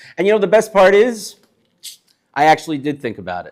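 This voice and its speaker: A man with a New York accent and lively intonation. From Brooklyn, New York. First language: Yiddish. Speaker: chef. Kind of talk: live talk to an audience. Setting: synagogue hall with live audience, no microphone. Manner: animated.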